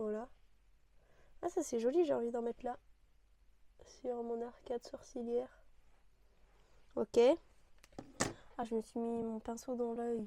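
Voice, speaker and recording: Soft-spoken and dark, mellow in tone, a woman with a fairly high pitch talks at a fairly slow pace with fairly even intonation and long, frequent pauses. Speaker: beauty youtuber. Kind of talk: makeup tutorial chat. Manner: casual, halting with fillers.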